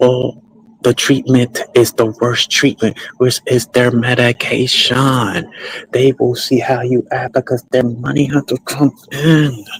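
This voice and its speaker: A man speaks very slowly at a medium pitch in a monotone, flat intonation. The sound is dry and close with no echo, though background noise is noticeable. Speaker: streamer / commentator. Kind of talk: livestream monologue.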